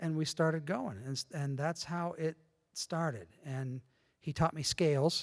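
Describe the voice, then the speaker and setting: A man with an American accent speaks at a fairly slow pace in a fairly high pitch, with ordinary pitch variation, on a very clean recording with a silent background and a dry, close sound with no echo. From northwestern Pennsylvania. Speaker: church member sharing faith story. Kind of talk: testimony.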